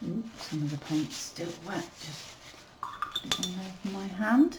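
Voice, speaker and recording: A woman at medium pitch mumbles at a fairly slow pace, with lively intonation and big swings in loudness. Background noise is noticeable. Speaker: watercolour artist. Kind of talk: tutorial. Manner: mumbling; casual, unhurried.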